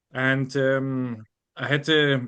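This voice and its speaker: A man with a German accent speaks at medium pitch. His intonation is monotone and flat. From Germany. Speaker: bible college student. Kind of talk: interview. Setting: podcast. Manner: halting, many fillers.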